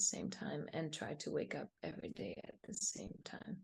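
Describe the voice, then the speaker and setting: A woman with vocal fry and a fairly low pitch. She speaks at a moderate pace. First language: Spanish. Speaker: meditation teacher. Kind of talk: interview. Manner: halting.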